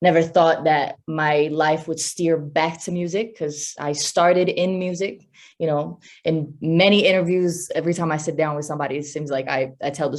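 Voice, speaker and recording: This woman has an American accent and a very deep, low pitch. She speaks at a moderate pace with fairly even intonation over a quiet background. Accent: sounds American. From Italy, near Rome. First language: Italian. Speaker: R&B singer-songwriter. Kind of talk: interview. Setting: virtual summit interview.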